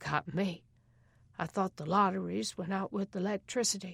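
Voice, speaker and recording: A woman's raspy, put-on character voice at a medium pitch and moderate pace, with ordinary pitch variation. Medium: read story. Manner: gruff, slangy.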